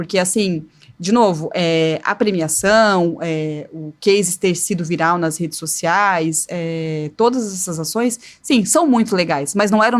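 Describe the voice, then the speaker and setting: Her pitch is fairly low, with ordinary variation. The woman speaks at a moderate pace. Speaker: communications agency professional. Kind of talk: podcast interview. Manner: animated.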